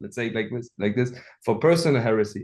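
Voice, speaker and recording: This is a man with a German accent. His pitch is medium. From Germany, Hamburg. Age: 20s. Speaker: app developer. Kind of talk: podcast interview. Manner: halting, many fillers.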